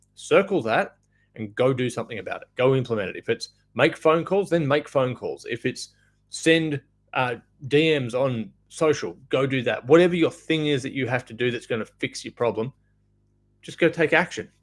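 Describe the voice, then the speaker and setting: The speaker has an Australian accent. The loudness swings widely. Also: man, fairly high pitch for a man, ordinary pitch variation, moderate pace. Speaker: off-grid solar business owner. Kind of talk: live stream business advice talk. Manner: casual, filler words.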